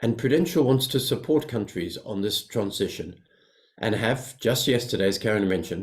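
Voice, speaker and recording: With lively intonation and a somewhat breathy voice, a man speaks at a moderate pace and a medium pitch. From South Africa and Zambia. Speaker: financial company executive. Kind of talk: prepared speech. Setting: webinar.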